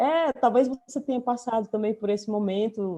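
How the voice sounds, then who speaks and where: In a northeastern Brazilian accent, a woman speaks with a dark, mellow tone and fairly high pitch. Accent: northeastern Brazilian (Ceará). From Brazil, Fortaleza, Ceará. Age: 40s. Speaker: writer and visual artist. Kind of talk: interview conversation.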